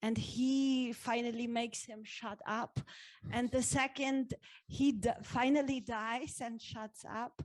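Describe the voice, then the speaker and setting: A high-pitched woman with a German accent at a very slow pace, fairly even intonation, and big swings in loudness. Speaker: actress. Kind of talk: panel discussion. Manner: halting.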